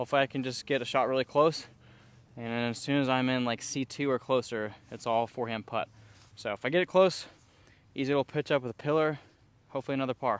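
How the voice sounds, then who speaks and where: A man talks at a fairly quick pace in a dry, close recording with no echo. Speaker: disc golf youtuber. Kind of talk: casual vlog commentary while playing. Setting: outdoors on disc golf course. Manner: animated.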